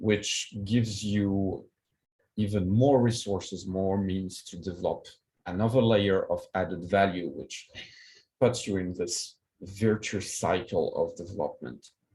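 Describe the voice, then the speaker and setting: A somewhat breathy man's voice with a French accent, fairly low in pitch with a dark, mellow tone, fairly even intonation and a fairly slow pace. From France, Paris. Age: 40s. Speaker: keynote speaker, project management expert. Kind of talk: conference keynote. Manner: hesitant, many fillers.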